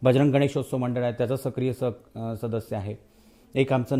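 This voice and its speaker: Medium pitch from a man, monotone and flat in intonation, with a dark, mellow tone. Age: 40s. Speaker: local election candidate. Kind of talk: campaign interview.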